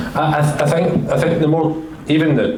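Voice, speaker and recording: Over audible room echo, a man with a strong Glasgow accent speaks at a moderate pace. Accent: thick Glasgow. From Scotland, Glasgow. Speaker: senior engineering director, panelist. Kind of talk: panel discussion.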